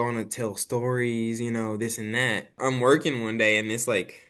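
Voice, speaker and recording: A man with a slight country accent talks at a medium pitch. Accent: slight country twang. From Arkansas and Dallas, Texas. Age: 20s. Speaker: actor and filmmaker. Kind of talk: casual interview chat. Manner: animated, many fillers.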